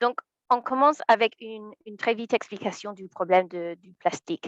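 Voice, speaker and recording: A woman with an English accent speaks at a fairly high pitch and a moderate pace, her intonation lively. The sound is dry and close with no echo, over a quiet background. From England. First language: English (speaking French). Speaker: environmental lawyer. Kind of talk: webinar presentation. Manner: hesitant, many fillers.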